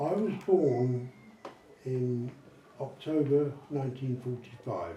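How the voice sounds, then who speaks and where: With audible room echo and noticeable background noise, a man speaks at a very slow pace with lively intonation. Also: medium pitch for a man. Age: 70s. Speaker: army veteran. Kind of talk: interview with school pupils. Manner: chatty.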